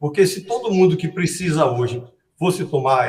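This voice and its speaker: With ordinary pitch variation, a somewhat breathy voice talks at a moderate pace. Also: man. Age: 70s. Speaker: cardiologist. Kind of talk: interview.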